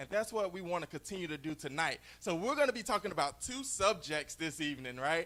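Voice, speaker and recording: Loud, very fast speech with a bright, sharp tone, lively intonation and hardly any pauses. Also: man, high pitch for a man. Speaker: network marketing entrepreneur, former beverage salesman. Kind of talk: motivational talk on stage.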